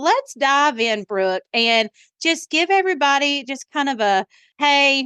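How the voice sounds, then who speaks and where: A woman's high, raised and projected voice in a Southern US accent, bright and sharp in tone, fairly slow with lively intonation, dry and close with no echo over a quiet background. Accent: Southern twang. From US South, rural Alabama. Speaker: podcast host. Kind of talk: casual interview chat.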